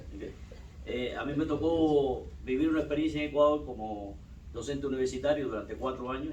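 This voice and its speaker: With audible room echo and noticeable background noise, a man talks at a very fast pace in a medium pitch. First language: Spanish. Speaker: university lecturer. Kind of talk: academic presentation.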